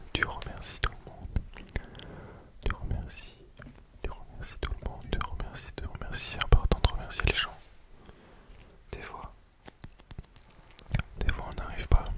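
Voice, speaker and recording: Whispering at a fairly slow pace with long, frequent pauses, the voice sits over noticeable background noise. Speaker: ASMR creator. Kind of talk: ASMR rambling talk to viewer. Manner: whispered, very slow.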